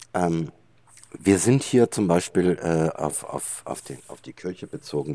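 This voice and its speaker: A man speaks at a fairly slow pace, his pitch very deep and low, with vocal fry. His tone is dark and mellow. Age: 60s. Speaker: gin distiller. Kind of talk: casual chat. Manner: halting, many filler sounds.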